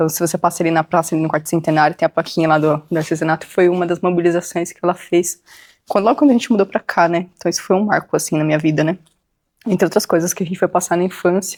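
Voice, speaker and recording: The speech comes at a very fast pace with fairly even intonation, in a dry, close sound with no echo. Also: woman, fairly low pitch for a woman. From Brazil, São Paulo / Guarulhos. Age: 30s. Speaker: interviewee in local history documentary. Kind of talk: personal testimony interview. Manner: hesitant, many fillers.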